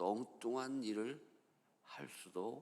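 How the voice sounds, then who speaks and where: A man talks very slowly, his voice carrying audible room echo. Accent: Chungcheong. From Chungcheong, Korea. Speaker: pastor. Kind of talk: sermon.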